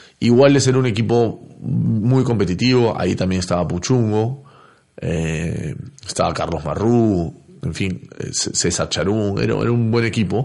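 Speaking at a fairly slow pace, a man has a fairly low pitch, ordinary pitch variation and a dark, mellow tone. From Peru. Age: 40s. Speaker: former footballer and football pundit. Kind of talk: casual interview.

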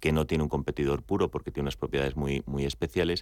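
His pitch is very deep and low for a man. The intonation stays fairly even throughout. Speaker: executive. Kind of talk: radio interview.

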